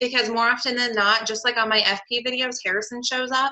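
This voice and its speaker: A woman is speaking. She has a Southern California accent. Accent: valley girl sound, self-described. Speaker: online clothing seller hosting a webinar. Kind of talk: webinar presentation. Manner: animated, chatty with fillers.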